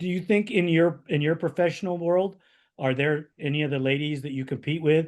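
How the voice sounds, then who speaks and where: A man talks at a fairly quick pace in a plain, everyday voice, with ordinary pitch variation. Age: 50s. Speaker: podcast host. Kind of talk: podcast interview.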